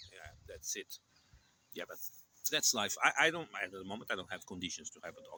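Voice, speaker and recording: A man with a Portuguese accent talks fairly quickly, with big swings in loudness and long, frequent pauses. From Portugal. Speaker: channel host, vlogger. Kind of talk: casual chat. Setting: outdoors in a park.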